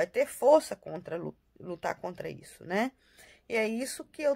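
A woman speaks at a moderate pace, her voice dipping into vocal fry. Her pitch swings very widely, and the sound is dry and close with no echo. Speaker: family vlogger. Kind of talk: casual vlog update. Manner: halting, many fillers.

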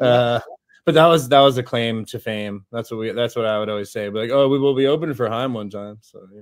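A man's fairly quick speech with ordinary pitch variation and big swings in loudness, in a dry sound with no echo and a quiet background. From Los Angeles, US. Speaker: musician and visual artist. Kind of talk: casual interview. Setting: remote livestream. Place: home room. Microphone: video call.

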